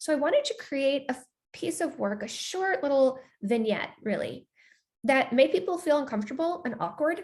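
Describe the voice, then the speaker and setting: At a moderate pace, a woman talks with a high pitch and very wide pitch swings. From United States. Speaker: filmmaker and journalist. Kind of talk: interview talkback. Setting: online video call.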